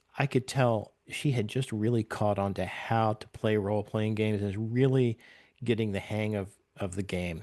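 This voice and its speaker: Over a quiet background, a man talks at a moderate pace with fairly low pitch and fairly even intonation. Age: 60s. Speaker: podcast creator and game master. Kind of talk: casual chat. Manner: halting.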